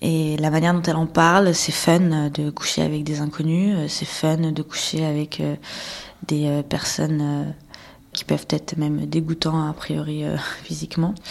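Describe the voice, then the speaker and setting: A woman talks fairly slowly in a very deep, low voice with monotone, flat intonation. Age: 30s. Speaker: abuse survivor. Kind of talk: testimony. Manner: halting.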